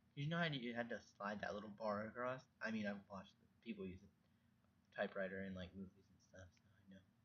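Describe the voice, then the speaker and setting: A soft-spoken man with fairly low pitch talks at a very fast pace with ordinary pitch variation and big swings in loudness. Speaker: vlogger. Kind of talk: casual monologue. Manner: halting.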